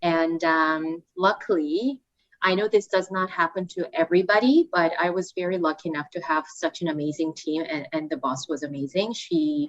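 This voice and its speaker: In a Korean accent, a woman speaks at a moderate pace, her fairly low voice showing ordinary pitch variation. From South Korea. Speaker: student recruitment manager. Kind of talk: podcast interview. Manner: hesitant, many fillers.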